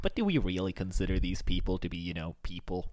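A man's put-on character voice, very deep and low, at a very fast pace. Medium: actual play. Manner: sly, cynical.

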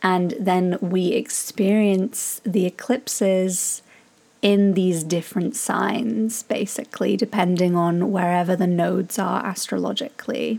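With an ordinary speaking voice, a woman at a medium pitch speaks at a fairly slow pace, with very even loudness and ordinary pitch variation. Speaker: podcast host, tantric mentor. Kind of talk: casual interview chat.

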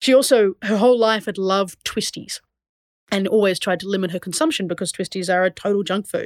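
A plain, everyday voice moves at a fairly quick pace with ordinary pitch variation in a dry, close sound with no echo. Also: woman, medium pitch for a woman. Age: 30s. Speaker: podcast host and playwright. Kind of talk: solo podcast monologue. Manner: casual, conversational.

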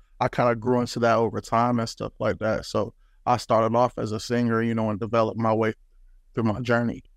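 Against a quiet background, the speaker talks very fast with an American accent and a monotone, flat intonation. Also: man, medium pitch for a man. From US Midwest, St. Louis and Decatur, Illinois. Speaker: rapper. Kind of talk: interview.

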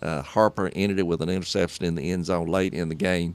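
A man with a Southern US accent speaks at a very deep, low pitch. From Hartsville, Tennessee. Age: 60s. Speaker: sports broadcaster.

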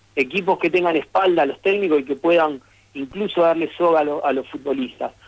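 A man with a Rosario accent talks at a fairly quick pace with a fairly high pitch. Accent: Rosario Argentine Spanish, dropped s. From Argentina, Rosario. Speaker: former footballer. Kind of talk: radio interview.

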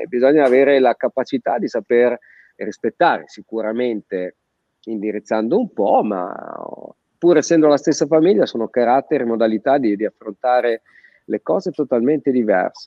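This man speaks at a moderate pace in a medium pitch, with an ordinary speaking voice. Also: lively intonation. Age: 50s. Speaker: physiotherapist. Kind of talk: casual chat. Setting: video call.

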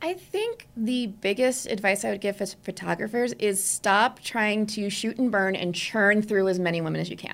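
A woman's medium-pitched, ordinary speaking voice at a moderate pace, with ordinary pitch variation and hardly any pauses. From New Jersey. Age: 30s. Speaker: portrait photographer. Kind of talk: interview conversation.

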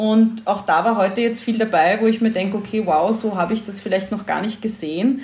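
A somewhat breathy woman talks at a fairly quick pace and a fairly high pitch, with hardly any pauses. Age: 40s. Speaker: journalist and podcaster. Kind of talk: casual interview conversation.

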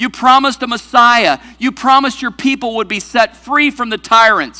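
A man talks in a raised, projected voice with an extremely high pitch and a bright, sharp tone. His intonation stays fairly even, and his pace is moderate. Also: very clean recording, silent background. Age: 40s. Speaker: pastor. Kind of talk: sermon.

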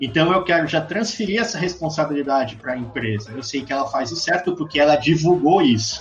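Music plays in the background as a man with a fairly high pitch speaks with lively intonation. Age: 30s. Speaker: advertising and design academic. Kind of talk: casual chat.

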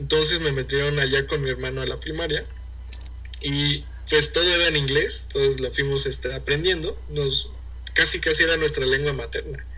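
With a Mexican accent, a man speaks at a moderate pace amid noticeable background noise and audible room echo. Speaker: university student and entrepreneur. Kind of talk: casual interview chat.

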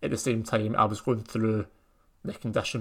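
Somewhat breathy, this voice keeps up a fairly quick pace. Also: man. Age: 20s. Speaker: podcast host. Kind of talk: personal monologue.

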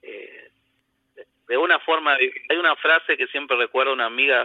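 A man speaks at a fairly quick pace. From Argentina, Corrientes (Mburucuyá). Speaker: chamamé enthusiast caller. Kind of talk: casual phone chat.

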